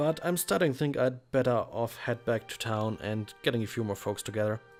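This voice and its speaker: Over music in the background, a man speaks at a fairly quick pace. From Germany. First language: German. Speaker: let's play commentator. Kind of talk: reading game dialogue aloud.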